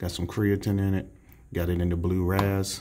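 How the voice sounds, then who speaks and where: A man talks at a fairly quick pace in a very deep, low pitch. Light background noise runs underneath. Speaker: fitness vlogger. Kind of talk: casual vlog chat. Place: bathroom. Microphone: phone near.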